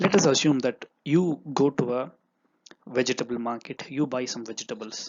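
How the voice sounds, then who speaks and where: Lively in intonation, a man talks at a fairly quick pace. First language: Tamil. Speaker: online teacher and entrepreneur. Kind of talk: lecture. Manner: halting.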